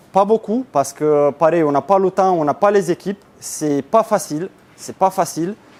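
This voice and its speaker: Moderate-paced speech from a man with a Romanian accent, ordinary pitch variation and music in the background. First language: Romanian (speaking French). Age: 30s. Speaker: business owner. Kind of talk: conference talk. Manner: hesitant.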